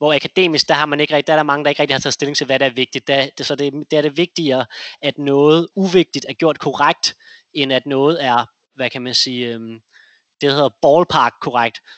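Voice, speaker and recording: Fairly even intonation marks this man's speech. His pitch is fairly high and his pace fairly quick. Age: 30s. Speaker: investor. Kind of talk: interview. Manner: halting.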